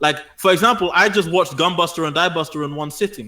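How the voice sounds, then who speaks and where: A man with a London accent, bright, sharp tone and very fast pace. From South London. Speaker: anime YouTuber. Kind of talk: casual chat.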